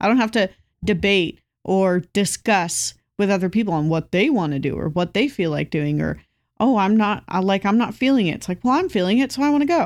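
A woman speaks at a fairly quick pace with lively intonation and a medium pitch, on a very clean recording with a silent background. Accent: West Coast US. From Southern California. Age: 20s. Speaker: podcast co-host. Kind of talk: casual chat.

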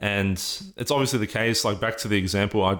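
An Australian-accented man talks at a fairly quick pace and a fairly low pitch, with ordinary pitch variation. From Australia, Sydney. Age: 20s. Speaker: student association president. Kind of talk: interview conversation.

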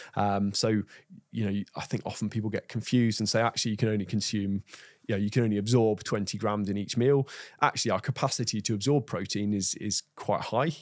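With a fairly low pitch and fairly even intonation, a man speaks at a fairly quick pace on a very clean recording with a silent background. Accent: English. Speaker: nutritionist. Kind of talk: interview conversation.

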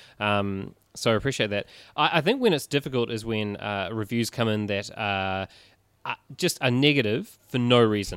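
A man with a New Zealand accent at medium pitch, moderate pace and ordinary pitch variation, on a very clean recording with a silent background. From New Zealand, Christchurch. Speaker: writer and new podcast co-host. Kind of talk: casual chat. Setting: bookstore.

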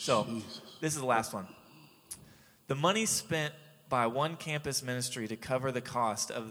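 This man has a normal speaking voice with an American accent, medium pitch and ordinary pitch variation. He talks at a moderate pace on a very clean recording with a silent background. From Jacksonville, Florida. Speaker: radio co-host and ministry worker. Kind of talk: casual chat. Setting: radio studio.

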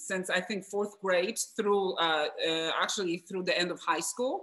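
A woman's voice sits at medium pitch and has a bright, sharp tone. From Poland, Wrocław. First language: Polish. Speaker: guest, former basketball player, mentor. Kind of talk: casual interview.

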